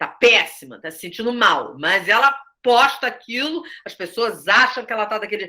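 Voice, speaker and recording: In a bright, sharp tone, a woman speaks. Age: 60s. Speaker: theatre director and teacher. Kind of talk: study group discussion. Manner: conversational with many fillers.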